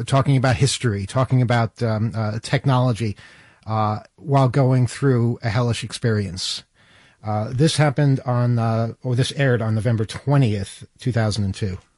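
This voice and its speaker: A somewhat breathy man talks at a medium pitch and a moderate pace. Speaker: radio host. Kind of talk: casual chat. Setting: studio.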